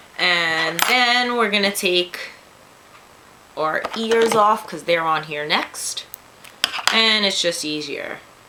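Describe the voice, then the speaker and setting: Very slow speech in a New York accent, broken by long, frequent pauses, over noticeable background noise. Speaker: craft tutorial youtuber. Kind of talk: tutorial. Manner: casual, chatty.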